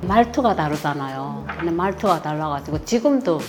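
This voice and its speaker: Music runs in the background. Over it, a woman talks. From North Korea. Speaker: mother-in-law of author, defector. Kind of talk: interview.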